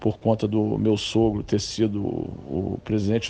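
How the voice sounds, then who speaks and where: The man's voice sits fairly low in pitch and moves with ordinary variation. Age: 60s. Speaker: football club board member. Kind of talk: interview. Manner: hesitant, with filler tags.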